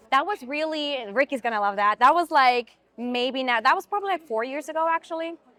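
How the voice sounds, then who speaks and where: Raised and projected, the voice carries a slight Swiss accent, a bright, sharp tone, lively intonation and a fairly quick pace in a dry, close sound with no echo. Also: woman, high pitch for a woman, hardly any pauses. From Switzerland. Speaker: actress. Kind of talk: interview conversation.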